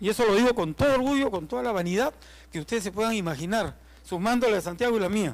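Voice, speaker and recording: A man speaks very fast in a high voice with lively intonation. The recording is very clean, with a silent background. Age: 70s. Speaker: archaeologist. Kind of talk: tribute speech.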